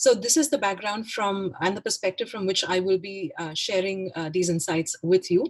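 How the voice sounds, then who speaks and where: A woman at medium pitch with ordinary pitch variation, talking at a very fast pace. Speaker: arts consultant, festival panelist. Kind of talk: presentation.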